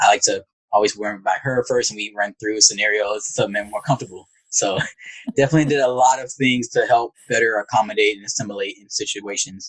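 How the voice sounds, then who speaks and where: Very fast speech comes from a man with an American accent. His pitch is medium, and his loudness swings widely. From US South, rural Alabama. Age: 20s. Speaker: psychologist, navy veteran. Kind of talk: interview. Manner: monotone.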